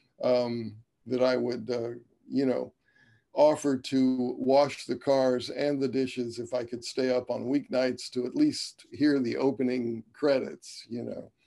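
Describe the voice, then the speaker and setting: In an American accent, a man speaks with a dark, mellow tone and monotone, flat intonation. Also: medium pitch for a man, fairly slow pace. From US Midwest (Dayton, Ohio). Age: 60s. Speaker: jazz trumpeter. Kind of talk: interview. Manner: halting, many fillers.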